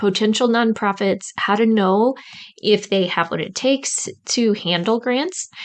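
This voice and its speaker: Against a quiet background, a woman speaks with a Midwestern accent at a fairly slow pace. Her pitch is medium, with ordinary variation. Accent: Midwest American. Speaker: podcast host, grant writing coach. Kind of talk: podcast intro monologue.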